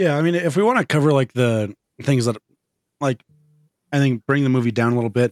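A man speaks at a very fast pace at a medium pitch with ordinary pitch variation, but with long, frequent pauses. The sound is dry and close, with no echo. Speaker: podcast host. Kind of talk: casual chat.

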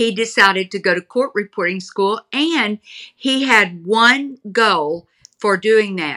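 A woman with a Texan accent speaks at a very slow pace, her medium-pitched voice bright and sharp with lively intonation. The sound is dry and close with no echo, on a very clean recording with a silent background. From Texas, Houston. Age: 70. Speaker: author, pastor's daughter. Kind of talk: interview, personal storytelling.

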